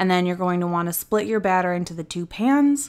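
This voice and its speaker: On a very clean recording with a silent background, a woman with an American accent has an unremarkable speaking voice and lively intonation. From US. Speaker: YouTube channel assistant. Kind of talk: cooking tutorial. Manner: casual, chatty.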